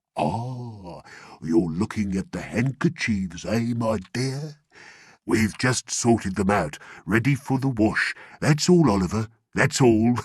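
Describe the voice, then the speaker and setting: In a put-on character voice, a man speaks at a fairly slow pace with lively intonation and a medium pitch. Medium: read story. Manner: smooth, fawning.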